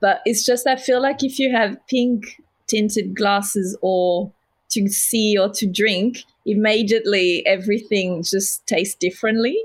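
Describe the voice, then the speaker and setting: The speaker sounds somewhat breathy, with a French accent and ordinary pitch variation. The recording is very clean with a silent background. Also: woman, fairly high pitch for a woman, fairly slow pace, very even loudness. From southern France. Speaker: homewares brand founder. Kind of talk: casual interview. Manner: talkative.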